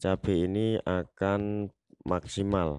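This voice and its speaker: A man speaks at a very slow pace against a quiet background. His voice is fairly low, with a dark, mellow tone. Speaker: gardening tutorial youtuber. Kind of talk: tutorial.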